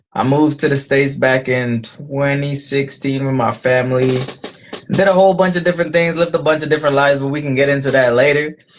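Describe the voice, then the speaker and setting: A man talks at a very fast pace with a fairly high pitch and fairly even intonation. Noticeable background noise is present. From Guyana. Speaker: singer-songwriter. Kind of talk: casual interview.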